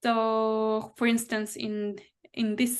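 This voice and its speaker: A woman speaks in a non-native accent at a fairly high pitch, her intonation monotone and flat. The background is quiet. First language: not English. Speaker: anti-racist therapist and consultant. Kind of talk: interview. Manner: halting, with many restarts.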